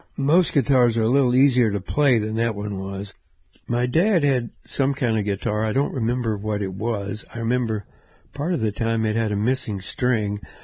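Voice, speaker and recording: Somewhat breathy and dark, mellow in tone, this voice moves at a moderate pace with ordinary pitch variation against a quiet background. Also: man, medium pitch for a man. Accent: American. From US South, Memphis, Tennessee. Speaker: musician and podcast host. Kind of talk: casual storytelling monologue.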